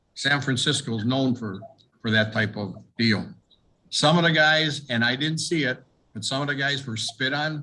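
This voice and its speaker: A bright, sharp tone at a moderate pace, in an American accent. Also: man, medium pitch for a man, ordinary pitch variation. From US Midwest, Milwaukee, Wisconsin. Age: 70s. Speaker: war veteran. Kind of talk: oral history interview. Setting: video call.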